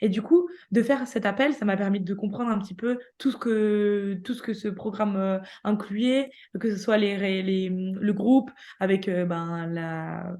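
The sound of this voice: A woman talks at a fairly slow pace in a medium pitch, her intonation fairly even and her tone dark and mellow.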